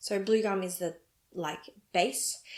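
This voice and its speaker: This woman speaks in an Australian accent. Her pace is very slow. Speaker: knitting podcaster. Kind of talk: casual vlog talk.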